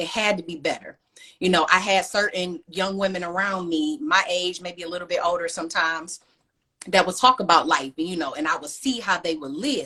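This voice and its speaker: A plain, everyday voice from a woman with an American accent, medium in pitch, fairly quick, with lively intonation. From US Midwest, Cleveland, Ohio. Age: 30s. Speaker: author. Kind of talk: interview.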